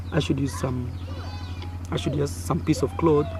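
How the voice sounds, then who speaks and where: Music plays in the background as a man with an East African accent speaks at a moderate pace. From Kenya. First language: Swahili. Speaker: YouTuber. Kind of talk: personal storytelling. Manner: animated.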